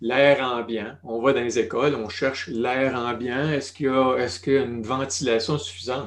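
A man with a Quebec accent speaks at a moderate pace and medium pitch, with hardly any pauses. His intonation is fairly even, over noticeable background noise. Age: 60s. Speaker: retired family doctor. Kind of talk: interview conversation.

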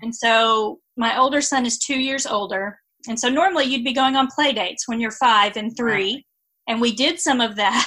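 At a moderate pace, a woman speaks in a plain, everyday voice with fairly high pitch. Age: 40s. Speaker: author and church special-needs ministry leader. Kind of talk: interview.

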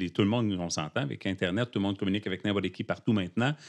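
A man's fairly low-pitched voice, animated in tone, with ordinary pitch variation. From Quebec (Abitibi). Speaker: podcast guest. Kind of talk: personal testimony in casual interview. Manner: animated, talkative.

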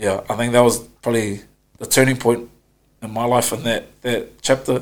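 At a moderate pace and medium pitch, a man talks in a monotone, flat way with long, frequent pauses. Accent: New Zealand. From New Zealand, West Auckland. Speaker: rugby player. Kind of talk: casual interview.

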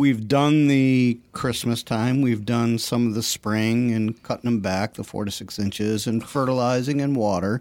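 At a moderate pace and with hardly any pauses, a man talks at a medium pitch with fairly even intonation. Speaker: novice gardener co-host. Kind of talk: casual chat. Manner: laid-back.

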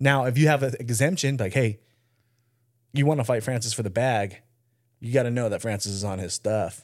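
On a very clean recording with a silent background, the speaker moves at a fairly quick pace with ordinary pitch variation and long, frequent pauses. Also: man. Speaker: podcast co-host. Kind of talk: casual chat.

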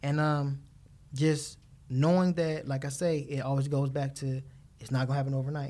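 A man's voice sits at a fairly high pitch with a dark, mellow tone. He talks at a moderate pace in a monotone, flat intonation. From Watts, Los Angeles, California. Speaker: DJ. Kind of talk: casual interview.

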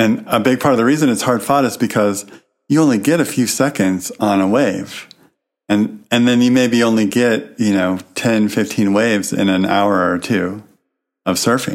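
This man has a normal speaking voice at medium pitch, with ordinary pitch variation. His pace is moderate and his loudness very even. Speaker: podcast co-host. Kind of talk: casual chat.

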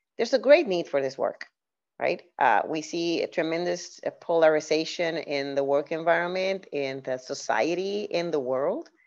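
Speaking at a moderate pace with lively intonation, a woman with a Puerto Rican accent has a fairly low pitch. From Puerto Rico. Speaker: diversity and inclusion leader and author. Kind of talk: podcast interview.

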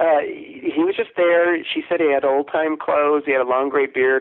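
An ordinary speaking voice from a man with an American accent, fairly high pitch and a moderate pace. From US Midwest. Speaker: storyteller and author. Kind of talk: casual interview.

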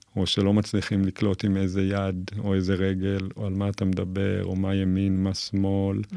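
This man has a fairly low pitch, a dark, mellow tone and monotone, flat intonation, speaking at a moderate pace. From Israel, western Galilee kibbutz. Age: 40s. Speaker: psychotherapist and martial arts therapy center owner. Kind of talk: interview conversation.

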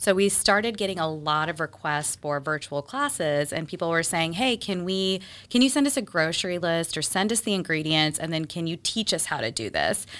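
A woman with an American accent has an unremarkable speaking voice, fairly low in pitch, with lively intonation. She talks at a fairly quick pace with hardly any pauses, on a very clean recording with a silent background. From Texas. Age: 30s. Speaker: charcuterie business owner. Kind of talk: casual interview.

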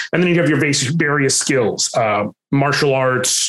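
Audible room echo is present as a man speaks. His voice is fairly high, at a moderate pace with fairly even intonation. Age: 30s. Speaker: Twitch streamer and voice actor. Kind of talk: casual interview chat.

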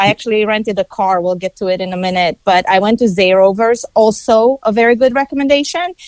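Dry, close sound with no echo around a woman's voice. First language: not English. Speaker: travel reviewer guest. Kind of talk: casual interview.

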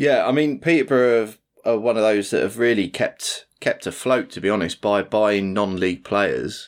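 The speaker has an English accent, ordinary pitch variation, and hardly any pauses. The recording is very clean, with a silent background. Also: man, medium pitch for a man, moderate pace. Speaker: podcast producer and co-host. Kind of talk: casual chat.

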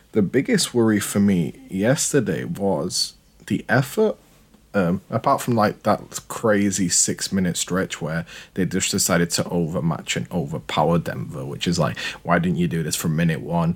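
A man with a British accent and a very deep, low pitch uses lively intonation and vocal fry at a moderate pace. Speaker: podcast host. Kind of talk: casual interview. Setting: remote call.

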